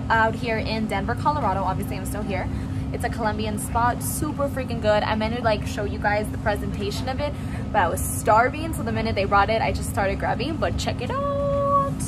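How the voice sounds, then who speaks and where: Loud background noise surrounds a woman talking at a fairly quick pace. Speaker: travel vlogger. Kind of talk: casual vlog chat. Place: cafe. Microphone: phone near.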